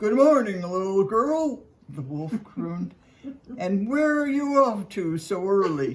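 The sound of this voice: Using a put-on character voice, a woman speaks at a medium pitch and a fairly slow pace, with very wide pitch swings.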